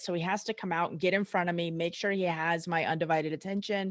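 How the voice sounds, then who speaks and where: On a very clean recording with a silent background, a woman with a slight Southern US accent speaks at a fairly quick pace and a fairly low pitch. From US South. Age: 30s. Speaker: chiropractor. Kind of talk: casual chat.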